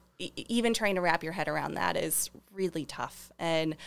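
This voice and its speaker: Vocal fry in a woman's fairly low-pitched voice, its pitch varying in an ordinary way. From US Midwest, St. Charles, Missouri. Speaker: shop owner and maker. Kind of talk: casual interview. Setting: studio.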